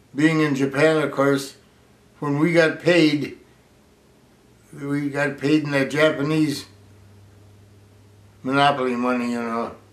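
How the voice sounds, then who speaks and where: At a fairly slow pace, a man with a fairly high pitch talks in a monotone, flat intonation, leaving long, frequent pauses amid audible room echo. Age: 80s+. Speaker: war veteran. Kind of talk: oral history interview. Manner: halting.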